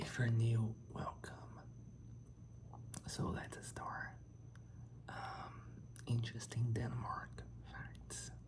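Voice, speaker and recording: The speech is very slow, with long, frequent pauses and noticeable background noise. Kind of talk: ASMR facts reading. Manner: whispered; soft-spoken.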